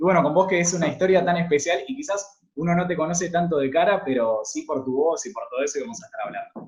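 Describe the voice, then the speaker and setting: A man talks very fast in a Rioplatense accent. His intonation is lively. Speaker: podcast host. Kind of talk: interview.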